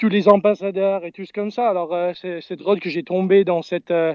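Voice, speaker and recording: A high-pitched man with a slight English-Canadian accent, moderate pace and monotone, flat intonation. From Canada. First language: English (speaking French). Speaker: crypto community member. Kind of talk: live audio space talk. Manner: halting.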